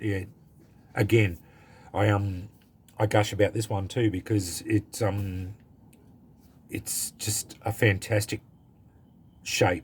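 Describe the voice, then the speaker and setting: A man's somewhat breathy, monotone, flat voice with an Australian accent, at a very slow pace, on a very clean recording with a silent background. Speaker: knife collector YouTuber. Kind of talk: casual product review. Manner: halting, many fillers.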